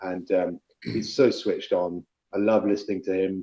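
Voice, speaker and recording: With a London accent, a man speaks fairly slowly at a fairly low pitch. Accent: southern English (London). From London (Chelsea), England. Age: 50s. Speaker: politician. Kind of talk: casual chat.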